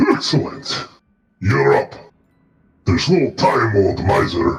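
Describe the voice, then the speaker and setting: A man puts on a character voice with a theatrical tone. He speaks at a fairly slow pace. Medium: actual play. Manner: booming, theatrical.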